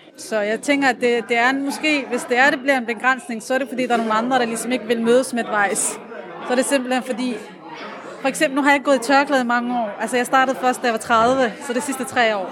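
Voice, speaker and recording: Amid crowd noise and audible room echo, a woman speaks very fast at a high pitch. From Aarhus, Denmark. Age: 30s. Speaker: café patron, lab technician. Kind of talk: casual interview. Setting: café.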